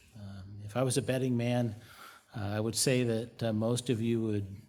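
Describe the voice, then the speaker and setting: A man with fairly even intonation, amid audible room echo. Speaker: pastor. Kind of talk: sermon. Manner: monotone.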